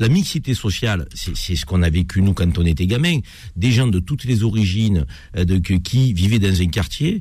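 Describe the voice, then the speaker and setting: Speaking at a fairly slow pace, a man with a fairly low pitch and a dark, mellow tone sounds somewhat breathy, his intonation lively. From France. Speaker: radio host. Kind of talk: radio talk show. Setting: studio.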